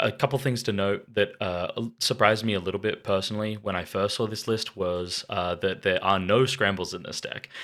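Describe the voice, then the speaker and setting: On a very clean recording with a silent background, a man with an Australian accent speaks at a moderate pace in a bright, sharp tone, with fairly low pitch and fairly even intonation. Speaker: card game YouTuber. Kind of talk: deck review commentary. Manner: soft-spoken.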